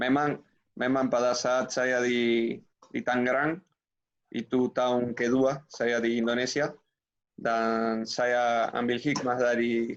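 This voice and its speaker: A man with a Spanish accent speaks very slowly at a medium pitch, his loudness very even and his intonation monotone and flat. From Uruguay. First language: Spanish (speaking Indonesian). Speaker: former footballer and coach. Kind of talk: interview.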